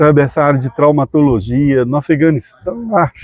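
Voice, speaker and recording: In an ordinary speaking voice, the speaker moves at a moderate pace with ordinary pitch variation. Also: man. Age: 60s. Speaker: dentist and missionary. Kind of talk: casual interview chat.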